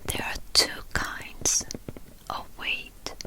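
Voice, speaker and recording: Through noticeable background noise, a woman's very slow whispering can be heard. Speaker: ASMR artist. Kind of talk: guided reflection. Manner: whispered, soft.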